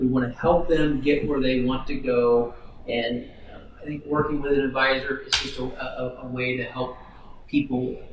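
A man with a medium pitch and monotone, flat intonation at a moderate pace, plus noticeable background noise and audible room echo. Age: 40s. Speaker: financial planner. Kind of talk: interview.

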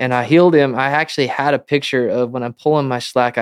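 Speaking at a fairly quick pace in a plain, everyday voice, a man with an American accent keeps a medium pitch and fairly even intonation. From Montana. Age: 30s. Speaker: professional rodeo roper. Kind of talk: casual interview.

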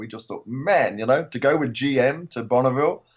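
A man speaks with an English accent at a fairly quick pace. His pitch is fairly high. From England. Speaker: retired motorsport museum director and author. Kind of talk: casual chat.

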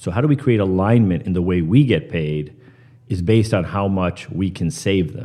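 Dark and mellow in tone, a man with an American accent speaks at a fairly low pitch and a moderate pace. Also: lively intonation. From US Northeast (Pearl River, New York). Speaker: finance company CEO. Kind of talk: interview. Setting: live at a conference summit.

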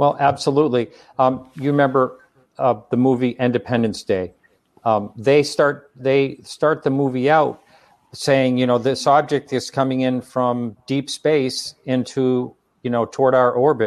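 A man's ordinary speaking voice, medium in pitch, at a fairly slow pace with fairly even intonation. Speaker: talk show host. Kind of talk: interview. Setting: live stream.

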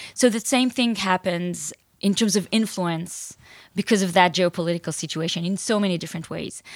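The recording is very clean, with a silent background. A woman with a medium-pitched voice speaks at a fairly quick pace. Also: ordinary pitch variation. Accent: Israeli. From Israel. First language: Hebrew. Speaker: author and entrepreneur. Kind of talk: interview.

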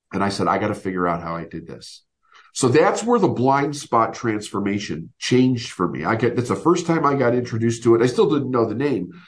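Somewhat breathy and fairly quick, a man speaks at a medium pitch with lively intonation. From Chicago area, US Midwest. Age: 50s. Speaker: business coach. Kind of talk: interview.

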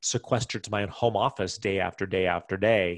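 In an ordinary speaking voice, a man with an American accent talks at a fairly quick pace with fairly even intonation, on a very clean recording with a silent background. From US Mountain West / Midwest (Wyoming, Iowa). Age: 40s. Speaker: entrepreneur and real estate businessman. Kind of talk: interview. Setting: home office.

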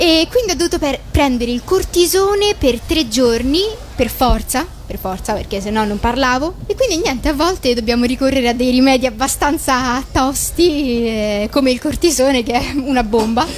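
Over music in the background, a woman with a high pitch talks at a moderate pace with lively intonation. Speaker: voice actress. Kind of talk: interview. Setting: at a comics convention. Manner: halting, with many repetitions and fillers.

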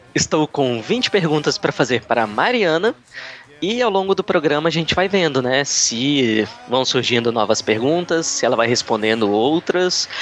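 With noticeable background noise, a man speaks at a moderate pace in a fairly high voice with very wide pitch swings and very even loudness. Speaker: airline check-in agent and former reporter. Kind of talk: casual interview as the questioner. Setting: online call.

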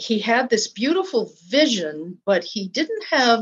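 With an American accent, a woman with a fairly high pitch talks at a very slow pace, her pitch swinging very widely. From US, Polish American family. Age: 70s. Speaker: former abbess and retreat leader. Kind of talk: interview.

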